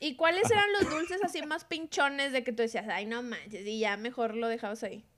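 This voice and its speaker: A high-pitched woman speaks at a fairly quick pace with hardly any pauses and very wide pitch swings, over noticeable background noise. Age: 30s. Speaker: podcast co-host. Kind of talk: casual chat.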